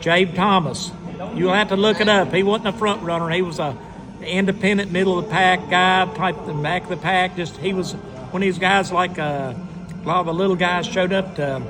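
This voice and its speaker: A man with a Southern US accent speaks at a high pitch and a moderate pace. His intonation is fairly even, with music in the background. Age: 60s. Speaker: retired race car driver. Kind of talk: casual chat.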